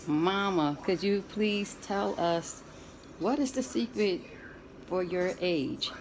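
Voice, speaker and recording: Clear music plays in the background as a woman speaks at a fairly low pitch. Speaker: granddaughter interviewing her grandmother. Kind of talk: casual talk to camera. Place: home room. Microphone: phone near.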